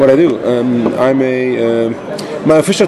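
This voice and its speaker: With crowd noise in the background, a man speaks at a medium pitch. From Iran. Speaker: conference co-chair and innovation officer. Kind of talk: casual interview.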